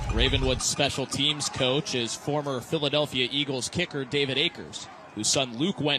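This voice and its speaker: This man has a fairly high pitch and fairly even intonation, speaking at a moderate pace. Noticeable background noise runs underneath. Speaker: sports broadcaster. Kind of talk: football play-by-play commentary. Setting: live stadium broadcast.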